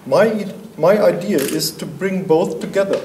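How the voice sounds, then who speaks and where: This man has a high voice and a German accent, with ordinary pitch variation. Noticeable background noise and audible room echo fill the recording. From Germany. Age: 50s. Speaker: artist. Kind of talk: artist presentation.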